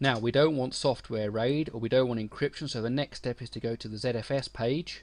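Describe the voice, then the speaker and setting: Speaking in a British accent, a man keeps a moderate pace. His pitch is medium, with ordinary variation. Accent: UK. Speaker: tech author and webmaster. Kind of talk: tutorial.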